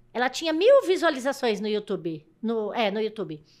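With pitch that swings very widely, a woman talks at a moderate speed over a quiet background. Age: 50s. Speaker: truck driver; podcast guest. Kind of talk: casual chat. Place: studio. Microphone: studio mic.

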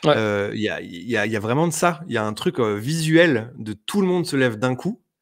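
A man with a plain, everyday voice at medium pitch talks with lively intonation in a very clean recording with a silent background. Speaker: wrestling reviewer. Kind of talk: casual chat.

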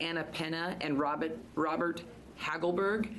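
Noticeable background noise surrounds a woman with a fairly low pitch. She speaks at a fairly slow pace. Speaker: committee chair. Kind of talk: public hearing chairing. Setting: legislative hearing room. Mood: brisk, polite. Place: hall. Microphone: podium.

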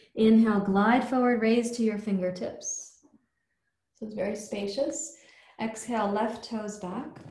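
A woman with a fairly high pitch and fairly even intonation, at a fairly slow pace, with audible room echo. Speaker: yoga teacher. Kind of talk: guided yoga class, calling out poses and breath cues. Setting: live or online class, morning practice. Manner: clear, brisk, rhythmic instructional commands synced to breath; calm, encouraging, warm. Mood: calm, soothing. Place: home room. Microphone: camera far.

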